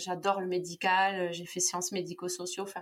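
A woman's voice sits at medium pitch and stays monotone and flat throughout. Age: 30s. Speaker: cancer survivor. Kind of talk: interview testimony. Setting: video call.

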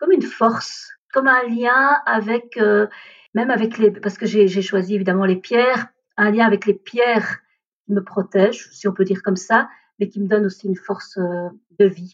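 A woman speaks at a moderate pace and medium pitch, her intonation fairly even, over a quiet background. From India, raised in Belgium from age 3. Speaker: energy therapist. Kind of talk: interview about personal story. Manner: hesitant, many fillers.

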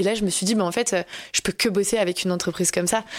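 A woman speaks over noticeable background noise. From Alsace, France. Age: 20s. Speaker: content creator. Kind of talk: interview.

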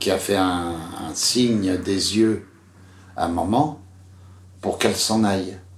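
Speaking at a very slow pace, a man with a very deep, low pitch and a somewhat breathy voice shows ordinary pitch variation, and the room echo is audible. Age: 70s. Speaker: interviewee telling his father's story. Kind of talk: personal testimony. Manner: halting, many hesitations.

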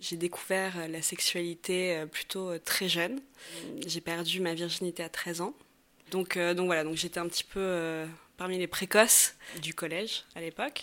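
A woman talks at a fairly slow pace with a bright, sharp tone. Her intonation is fairly even. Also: fairly low pitch for a woman. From Paris, France. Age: 20s. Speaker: interviewee sharing personal story. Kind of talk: personal testimony. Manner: hesitant, many fillers.

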